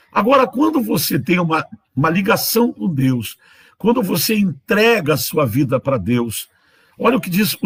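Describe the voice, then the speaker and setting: Very wide pitch swings mark this man's high-pitched voice as he talks at a fairly slow pace. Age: 60s. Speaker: bishop, preacher. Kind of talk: sermon. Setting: livestream.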